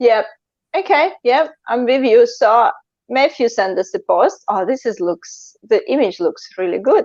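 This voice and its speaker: At a fairly slow pace, a woman with a non-native accent speaks at a high pitch with very wide pitch swings. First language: not English. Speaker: live interview host. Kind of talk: live stream interview. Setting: online live stream.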